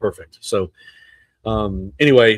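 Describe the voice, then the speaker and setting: In a South Carolina accent, a man speaks at a fairly low pitch with ordinary pitch variation, recorded dry and close with no echo. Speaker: real estate podcast host. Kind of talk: live stream monologue. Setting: outdoors at an event venue. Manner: animated.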